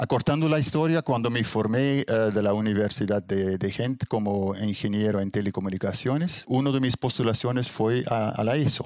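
A man speaks at a fairly low pitch. His pace is fairly slow. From Belgium (Ghent, Flemish-speaking north). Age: 60s. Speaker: astrophotographer, retired engineer. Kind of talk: interview. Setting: home observatory. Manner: halting, many fillers.

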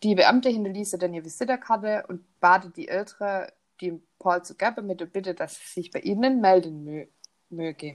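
The woman's pitch is medium, her pitch variation ordinary, and her pace moderate. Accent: Swabian. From Swabia, southern Germany. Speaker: true crime podcast host. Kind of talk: casual storytelling. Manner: hesitant, many fillers.

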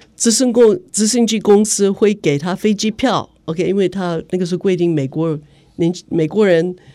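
A woman with an English accent, medium pitch, a dark, mellow tone and ordinary pitch variation. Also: moderate pace. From United States. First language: English (speaking Chinese). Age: 70s. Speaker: human rights activist. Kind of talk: interview. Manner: halting, many fillers.

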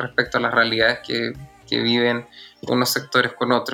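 Music plays behind a man speaking with a Chilean accent. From Chile, Santiago (born in the south, moved at 6-7). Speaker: singer and actor. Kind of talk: interview.

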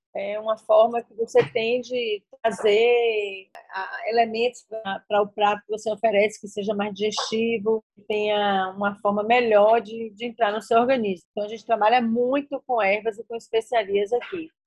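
A woman with a fairly high pitch speaks in a flat, monotone way with big swings in loudness, the sound dry and close with no echo, and music plays in the background. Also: moderate pace. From Bahia, Brazil (rural interior). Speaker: chef and restaurant owner. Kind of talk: interview.

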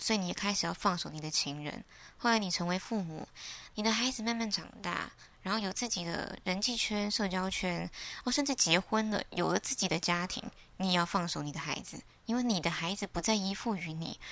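Using an ordinary speaking voice, a woman speaks at a fairly quick pace and medium pitch with ordinary pitch variation. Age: 20s. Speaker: podcaster. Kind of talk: solo reflective monologue.

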